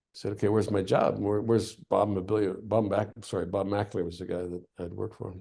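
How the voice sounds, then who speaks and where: A dark, mellow tone with vocal fry, in a Canadian accent, at a fairly quick pace with hardly any pauses, over a quiet background. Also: man. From Canada. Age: 60s. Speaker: war journalist and adventurer. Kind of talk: interview conversation. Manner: animated.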